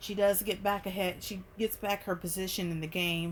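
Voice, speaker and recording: The speaker talks at a fairly quick pace. The intonation stays fairly even. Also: woman. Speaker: movie reviewer. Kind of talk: casual review monologue. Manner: fast.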